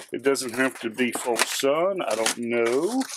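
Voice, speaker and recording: Loud background noise runs behind a man who talks at a fairly slow pace. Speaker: hobbyist reviewer. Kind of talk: tutorial. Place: garage.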